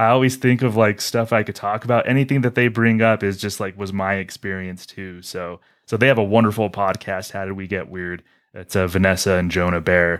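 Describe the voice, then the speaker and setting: With a normal speaking voice, a man talks at a fairly quick pace in a fairly low pitch and fairly even intonation, on a very clean recording with a silent background. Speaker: podcast host.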